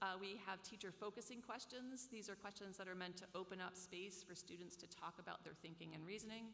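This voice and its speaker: Against noticeable background noise and audible room echo, a woman speaks at a medium pitch with fairly even intonation. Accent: American. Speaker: professor. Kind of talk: lecture.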